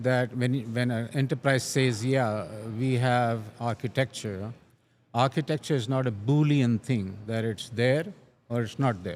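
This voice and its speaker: Very clean recording with a silent background of a man at medium pitch, with ordinary pitch variation and a fairly slow pace. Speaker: enterprise architecture expert. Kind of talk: interview. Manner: slow, deliberate pace; halting, frequent self-corrections.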